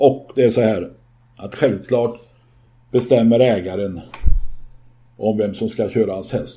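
A man's dark, mellow, somewhat breathy voice at a fairly slow pace. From rural Sweden. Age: 60s. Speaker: podcast co-host, horse owner. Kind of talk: casual chat.

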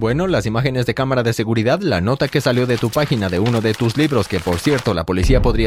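A plain, everyday voice moves at a fairly quick pace on a very clean recording with a silent background. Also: man. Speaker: story narrator. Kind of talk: dramatic first-person narration. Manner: tense, suspenseful, urgent storytelling.

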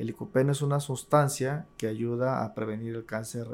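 In an unremarkable speaking voice, a man talks at a medium pitch and moderate pace with fairly even intonation. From Tabasco, Mexico. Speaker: university administrator, agricultural economist. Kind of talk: interview.

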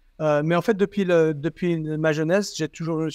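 A man with an unremarkable speaking voice, fairly high in pitch and fairly quick, with a dry, close sound with no echo and a quiet background. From southern France, Toulon. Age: 50s. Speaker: company CEO. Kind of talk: interview.

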